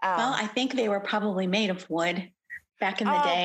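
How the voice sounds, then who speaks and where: At a moderate pace, a woman speaks at medium pitch with ordinary pitch variation and very even loudness. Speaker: podcast guest, flute player.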